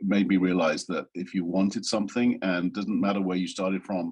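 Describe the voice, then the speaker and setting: With an English accent, a man talks in a very deep, low pitch. His intonation stays monotone and flat. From rural England. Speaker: design executive. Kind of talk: interview. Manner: halting, many fillers.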